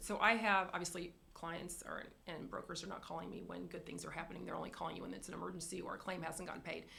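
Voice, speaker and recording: In a room with audible echo, a woman talks at a very fast pace. Her intonation stays fairly even, with vocal fry. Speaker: insurance carrier representative. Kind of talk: business presentation.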